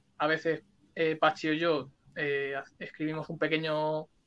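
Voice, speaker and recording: With a bright, sharp tone and fairly high pitch, a man speaks at a moderate pace in a monotone, flat intonation. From Spain (Alicante). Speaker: punk rock musician. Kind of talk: interview. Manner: talkative.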